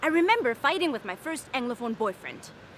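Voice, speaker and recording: A woman takes her time, speaking rather slowly against clearly audible background noise. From Germany. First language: German. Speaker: comedian. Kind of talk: stand-up monologue.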